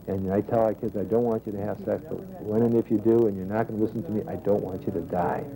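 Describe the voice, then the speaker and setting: Over noticeable background noise, a man talks at a very fast pace. His pitch is fairly low. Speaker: health educator. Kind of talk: interview. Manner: energetic.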